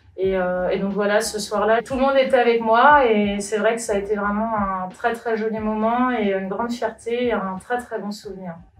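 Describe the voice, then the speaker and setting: A woman with a fairly high pitch talks at a moderate pace with hardly any pauses. Her intonation is fairly even, and room echo is audible. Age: 30s. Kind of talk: interview. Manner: hesitant, many filler sounds.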